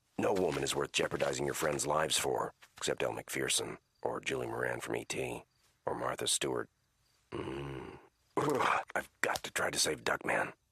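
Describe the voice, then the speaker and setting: A man puts on a cartoonish character voice. It sits very deep and low, at a moderate pace. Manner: calm, dry.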